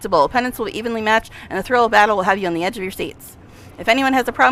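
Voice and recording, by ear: Reading aloud in a natural voice, the pitch shifting in an ordinary way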